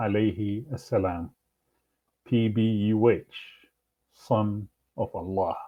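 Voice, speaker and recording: A man's somewhat breathy voice sits fairly low in pitch. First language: Arabic. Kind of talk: religious commentary video. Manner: halting, many fillers.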